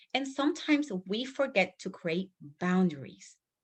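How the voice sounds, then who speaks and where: Lively intonation at a very slow pace, in a Spanish accent. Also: woman. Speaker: business coach. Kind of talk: team training call. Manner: halting.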